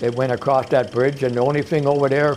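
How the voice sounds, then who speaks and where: A man is talking. Background noise is noticeable. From Canada, Toronto (East York). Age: 70s. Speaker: retired music promoter. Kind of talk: reminiscing interview. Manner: halting.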